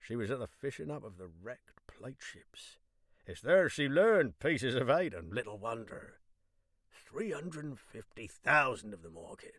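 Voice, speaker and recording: A man's medium-pitched voice with vocal fry and very wide pitch swings, on a very clean recording against a silent background. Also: moderate pace, big swings in loudness. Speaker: professional voice actor and audiobook narrator. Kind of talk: audiobook narration of classic literature. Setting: professional home studio. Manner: clear, measured storytelling.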